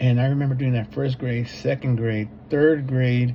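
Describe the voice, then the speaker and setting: Medium-pitched male voice in a Spanish accent with fairly even intonation. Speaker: substitute teacher and graduate student. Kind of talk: personal reflection for a course assignment. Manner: hesitant, many fillers and repeats.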